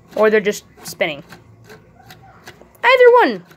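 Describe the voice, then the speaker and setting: Medium-tempo speech from a woman, with clearly audible noise behind it. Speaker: small YouTuber, toy reviewer. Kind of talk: casual toy review video. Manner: halting, with many fillers.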